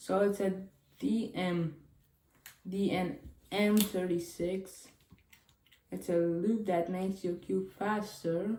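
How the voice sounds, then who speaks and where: Long, frequent pauses break up a woman's very slow speech, her medium pitch held in fairly even intonation with a dark, mellow tone. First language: Chinese. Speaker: cube unboxing youtuber. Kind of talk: casual unboxing video. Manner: casual, thinking aloud.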